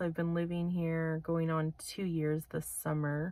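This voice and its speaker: At a moderate pace, a woman talks in a fairly low voice with fairly even intonation, the sound dry with no echo. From Manitoba, Canada. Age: 30s. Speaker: vlogger. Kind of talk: casual vlog monologue. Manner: hesitant, many fillers. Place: car. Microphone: phone near.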